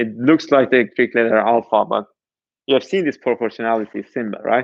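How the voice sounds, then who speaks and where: In a non-native accent, the voice keeps a moderate pace with ordinary pitch variation. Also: man. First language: not English. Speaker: university lecturer. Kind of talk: lecture. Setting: online class streamed live. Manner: halting, many false starts.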